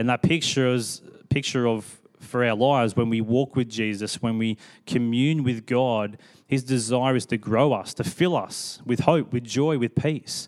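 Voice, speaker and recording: The speech moves at a fairly slow pace with fairly even intonation in an Australian accent. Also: man, medium pitch for a man. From Sydney, Australia. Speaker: pastor. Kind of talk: interview on church stage; sermon-style reflection. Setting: church stage with congregation.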